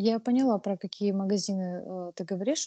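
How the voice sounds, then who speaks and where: Against a quiet background, a woman speaks at a moderate pace with ordinary pitch variation. Her tone is dark and mellow, and the sound is dry and close with no echo. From Russia, Krasnodar. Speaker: ceramic artist. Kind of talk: casual interview. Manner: hesitant, many fillers.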